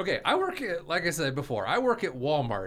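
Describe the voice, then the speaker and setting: Through noticeable background noise, a man talks at a moderate pace with very wide pitch swings. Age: 40s. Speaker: podcast host. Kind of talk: casual chat.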